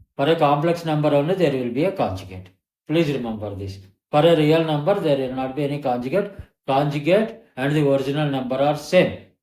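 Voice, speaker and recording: Amid audible room echo, a man with a fairly high pitch speaks at a fairly quick pace with lively intonation. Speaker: maths teacher. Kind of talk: tutorial.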